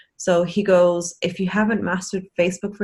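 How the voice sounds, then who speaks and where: Her voice is somewhat breathy and fairly low in pitch for a woman. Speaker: network marketing team member. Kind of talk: casual chat. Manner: fast.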